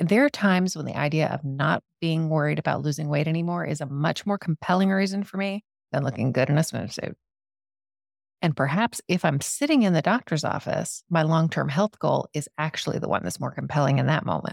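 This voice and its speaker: A woman with a very deep, low pitch and vocal fry speaks at a fairly quick pace in an enthusiastic tone. The recording is very clean, with a silent background and a dry, close sound with no echo. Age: 40s. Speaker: podcast host and life coach. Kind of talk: solo podcast talk.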